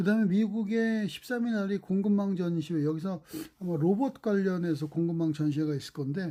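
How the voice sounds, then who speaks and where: A dark, mellow tone carries lively intonation at a fairly quick pace. The recording is very clean, with a silent background. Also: man. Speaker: stock market commentator. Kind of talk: market commentary monologue. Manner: fast.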